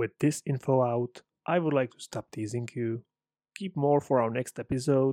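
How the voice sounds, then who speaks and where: On a very clean recording with a silent background, a man with a Czech accent and a dark, mellow tone speaks at a fairly slow pace. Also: dry, close sound with no echo. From Czech Republic. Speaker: podcast host, English teacher and aspiring writer. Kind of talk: casual solo podcast monologue.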